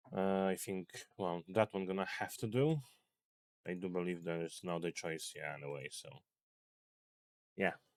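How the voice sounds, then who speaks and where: A man's very deep, low voice with a non-native accent, ordinary pitch variation, and long, frequent pauses. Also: moderate pace. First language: not English. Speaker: gaming video creator. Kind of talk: gameplay commentary. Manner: halting.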